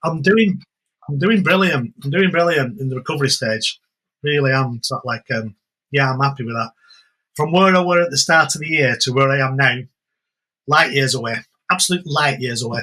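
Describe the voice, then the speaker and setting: This man talks at a fairly quick pace with a bright, sharp tone and a fairly high pitch. His pitch varies in an ordinary way, broken by long, frequent pauses. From England. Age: 60s. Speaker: jiu-jitsu instructor. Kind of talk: podcast interview. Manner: repetitive, halting starts.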